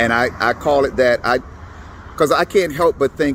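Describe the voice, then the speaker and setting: At a moderate pace, a man speaks with lively intonation over noticeable background noise. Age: 60s. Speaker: political commentator vlogger. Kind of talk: casual political monologue to camera. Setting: at the elections office. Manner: halting, with repeats.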